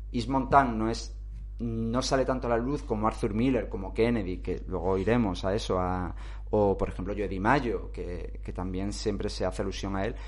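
A man talks at a moderate pace. Audible room echo follows his voice. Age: 40s. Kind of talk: casual chat.

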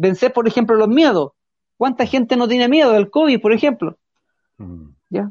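A man's extremely high-pitched voice at a moderate pace, with ordinary pitch variation and long, frequent pauses. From Chile, Curacaví. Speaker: rural tourism operator and mountain guide. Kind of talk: interview. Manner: halting, many repetitions.

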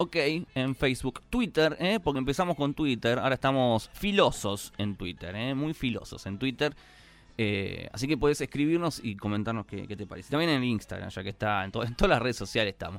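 Speaking with a Rioplatense accent, a man with a fairly high pitch talks at a fairly quick pace with lively intonation on a very clean recording over a silent background. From Argentina. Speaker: podcast host. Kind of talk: casual chat.

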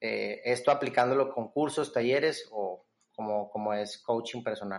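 Speaking at a fairly slow pace, a man has a normal speaking voice. His pitch is medium, with ordinary variation. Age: 20s. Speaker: entrepreneur and business coach. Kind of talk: casual interview.

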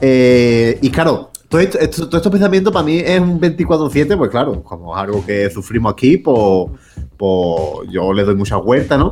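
Against noticeable background noise, a man with an Andalusian accent speaks at a fairly slow pace in an animated tone with very wide pitch swings. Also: medium pitch for a man. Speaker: podcast co-host. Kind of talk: casual chat.

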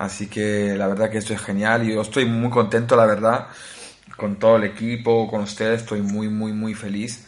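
A man talks at a moderate pace in a monotone, flat way. Audible room echo surrounds his voice. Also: fairly low pitch for a man. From Italy (Naples). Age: 20s. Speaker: tech podcast host. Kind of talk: casual chat.

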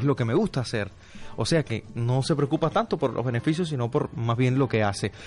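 A man speaks at a fairly quick pace in an unremarkable speaking voice, medium in pitch, with ordinary pitch variation. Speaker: radio announcer. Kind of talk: reading listener comments aloud. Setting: radio studio.

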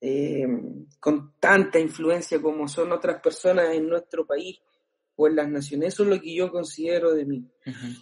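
Speaking with a Chilean accent, a man keeps his intonation fairly even. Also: fairly high pitch for a man. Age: 30s. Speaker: pastor and worship musician. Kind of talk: casual interview.

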